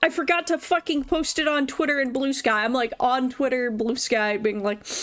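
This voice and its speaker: Noticeable background noise under a moderate pace, ordinary pitch variation, and very even loudness. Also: woman, high pitch for a woman. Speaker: vtuber streamer. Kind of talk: casual livestream commentary.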